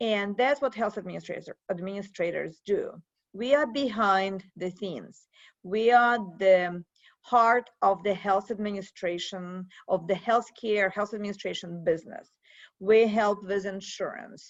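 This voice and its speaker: With a Russian accent, a woman speaks with ordinary pitch variation. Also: medium pitch for a woman, fairly slow pace. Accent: Russian accent, persistent. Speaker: professor. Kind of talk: interview.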